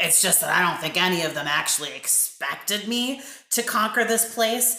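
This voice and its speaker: Heard with audible echo, a rumbling put-on character voice goes along at a moderate pace. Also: woman. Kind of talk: read-aloud character voice. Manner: gloomy, grumbling, wistful.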